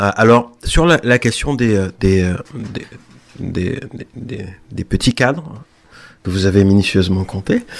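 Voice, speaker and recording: Speaking at a very slow pace with long, frequent pauses, a man with a fairly low pitch shows ordinary pitch variation and big swings in loudness. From Guadeloupe. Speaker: visual artist. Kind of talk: radio interview. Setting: radio studio. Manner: halting, many repeated words.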